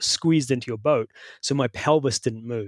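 A man with a New Zealand accent, a dry, close sound with no echo, and a very clean recording with a silent background. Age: 50s. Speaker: bike fitter and coach. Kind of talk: interview. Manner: halting.

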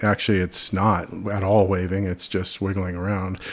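At a moderate pace and a fairly low pitch, a man talks over noticeable background noise. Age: 50s. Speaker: photographer. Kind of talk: casual interview. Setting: in-person at his studio.

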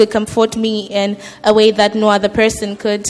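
Noticeable background noise fills the clip. A woman talks at a fairly quick pace with a fairly high pitch. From Zimbabwe. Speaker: church member being baptized. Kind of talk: testimony. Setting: church.

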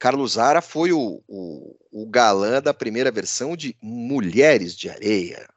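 Here a man talks at a fairly slow pace and medium pitch, with lively intonation. It is an unremarkable speaking voice. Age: 50s. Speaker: podcast host and business editor. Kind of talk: casual news commentary.

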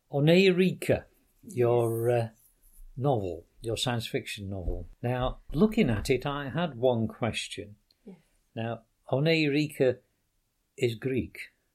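A man at medium pitch with lively intonation and a Yorkshire accent, speaking at a very slow pace with long, frequent pauses, on a very clean recording with a silent background. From Yorkshire, northern England. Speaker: podcast host. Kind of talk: interview conversation.

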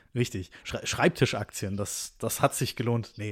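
The recording is very clean with a silent background. A man of medium pitch speaks with fairly even intonation and a somewhat breathy sound. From Stuttgart, Swabia, Germany. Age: 20s. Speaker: podcast co-host. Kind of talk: casual chat.

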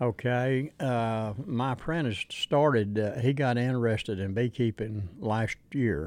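In an Appalachian accent, the speaker goes at a fairly slow pace with hardly any pauses and ordinary pitch variation. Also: man, medium pitch for a man. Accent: Appalachian Southern US. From Southwest Virginia mountains. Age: 70s. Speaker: beekeeper. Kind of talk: interview. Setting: outdoor event. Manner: halting.

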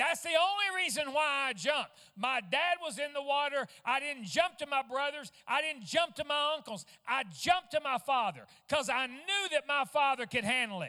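Raised and projected, a man's voice at an extremely high pitch carries a bright, sharp tone, lively intonation and a moderate pace. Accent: Arkansas. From US South, Fort Smith, Arkansas. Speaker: traveling Pentecostal minister. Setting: church service with congregation. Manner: fervent, rising intensity with emphatic repetition.

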